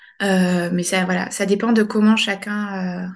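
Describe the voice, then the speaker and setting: A woman speaks at a medium pitch with a somewhat breathy voice. The background is quiet. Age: 30s. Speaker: general practitioner. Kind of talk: interview testimony. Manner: halting.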